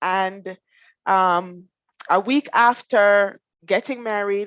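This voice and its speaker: With a Jamaican accent, a woman speaks at a very slow pace and medium pitch with ordinary pitch variation and a dry, close sound with no echo. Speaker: finance professional. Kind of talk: interview.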